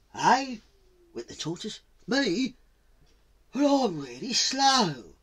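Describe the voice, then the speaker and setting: A man's put-on character voice, pitched extremely high. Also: fairly slow pace. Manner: hesitant, polite.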